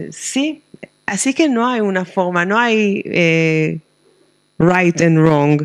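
Speaking at a very slow pace with long, frequent pauses, a woman uses lively intonation at a fairly low pitch. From Israel, Jerusalem. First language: Hebrew (speaking Spanish). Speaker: rabbi and professor of liturgy. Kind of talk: book presentation interview. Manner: halting, with frequent hesitations.

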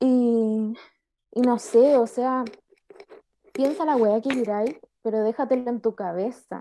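Her voice fairly high with a dark, mellow tone and ordinary pitch variation, a woman speaks at a very slow pace with long, frequent pauses. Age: 20s. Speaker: podcast co-host. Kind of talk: casual chat.

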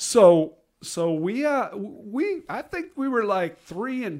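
A man with an American accent on a very clean recording against a silent background. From Iowa. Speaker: retired teacher. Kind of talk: casual chat.

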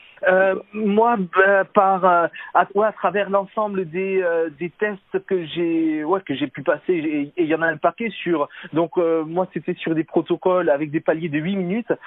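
A high-pitched male voice with fairly even intonation and a fairly slow pace. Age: 30s. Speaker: cycling coach. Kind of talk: interview. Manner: hesitant, many fillers.

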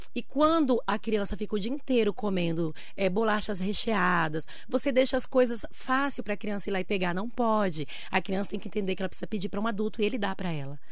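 A very fast, lively, bouncing delivery amid audible room echo. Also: woman, medium pitch for a woman. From Brazil, Bahia interior. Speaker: nutritionist. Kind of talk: radio interview.

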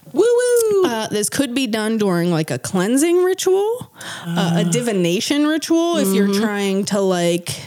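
With an American accent, a woman talks at a fairly slow pace with hardly any pauses, her fairly high pitch swinging very widely over noticeable background noise. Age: 30s. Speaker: podcast co-host. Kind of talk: casual chat with scripted research segments.

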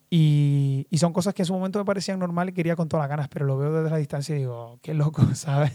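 Speaking very fast with hardly any pauses, a man delivers his words in a dark, mellow tone. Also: fairly high pitch for a man, ordinary pitch variation. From Canary Islands, Lanzarote. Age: 20s. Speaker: dancer and dance teacher. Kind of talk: casual interview chat.

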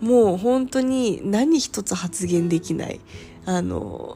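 Very slowly, a woman speaks at medium pitch in a dark, mellow, somewhat breathy tone, her pitch swinging very widely. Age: 30s. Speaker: podcaster. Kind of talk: personal storytelling monologue.

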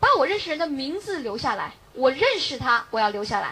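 Amid noticeable background noise, a woman's raised, projected voice sits at a high pitch, with an animated tone and very wide pitch swings. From Beijing. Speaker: direct sales distributor. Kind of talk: motivational talk. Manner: loud.

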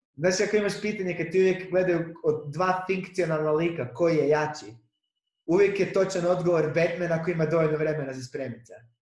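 The voice moves at a fairly quick pace, with audible room echo in the recording. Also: man, high pitch for a man, ordinary pitch variation. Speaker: podcast host, stand-up comedian. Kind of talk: casual chat.

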